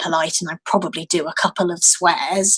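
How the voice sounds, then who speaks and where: Speaking in a British accent, a woman keeps a moderate pace. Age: 30s. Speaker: activist and blogger. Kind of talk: interview. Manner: animated.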